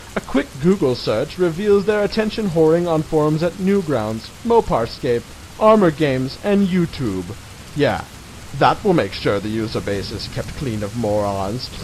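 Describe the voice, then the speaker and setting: The voice moves at a moderate pace with very wide pitch swings and a dramatic tone. Noticeable background noise runs underneath. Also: man, fairly high pitch for a man. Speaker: reader of an online article, channel owner. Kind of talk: dramatic reading of a mocking web article. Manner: mock-dramatic, sarcastic.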